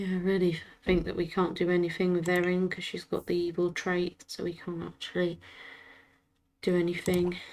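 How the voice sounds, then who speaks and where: Quiet and monotone, a woman speaks with flat intonation at a fairly low pitch and a moderate pace. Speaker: gaming streamer. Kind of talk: live game commentary. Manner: quiet, hushed speaking.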